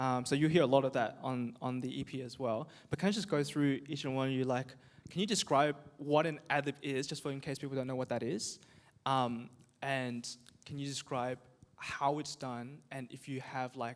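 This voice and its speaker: A man speaks with an Australian accent and fairly even intonation on a very clean recording with a silent background. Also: medium pitch for a man, moderate pace. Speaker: youth group host and singer. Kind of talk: casual panel chat.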